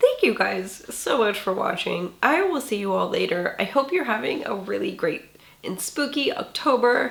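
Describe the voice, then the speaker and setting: A woman's high, raspy, hoarse put-on character voice at a moderate pace. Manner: friendly sign-off.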